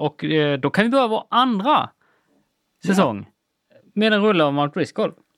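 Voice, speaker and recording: A man's voice swings very widely in pitch, dry and close with no echo. The recording is very clean and the background silent. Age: 40s. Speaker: podcast co-host. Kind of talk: casual chat.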